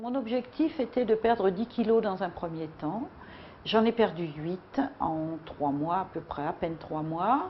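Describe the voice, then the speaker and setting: A woman speaks at a very slow pace in a somewhat breathy voice. Her pitch swings very widely. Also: medium pitch for a woman. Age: 60s. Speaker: weight-loss program member. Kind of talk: testimony. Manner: halting.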